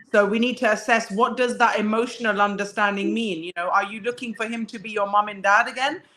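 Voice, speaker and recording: Speaking at a very fast pace with hardly any pauses, a woman with a British accent uses a fairly high, bright and sharp voice, fairly even intonation, and big swings in loudness. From England. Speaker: guest speaker. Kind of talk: casual chat.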